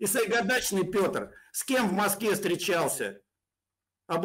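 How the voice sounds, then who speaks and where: The speech moves at a fairly slow pace with lively intonation, set against a quiet background. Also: man. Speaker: pro-Russian blogger. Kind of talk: heated debate. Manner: mocking, aggressive. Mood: hostile, taunting. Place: home room.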